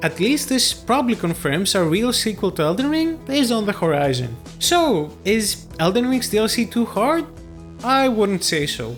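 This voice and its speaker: This man's pitch is high and swings very widely, and his loudness stays very even. Music plays in the background. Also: moderate pace. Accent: Greek. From Greece. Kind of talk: video game commentary.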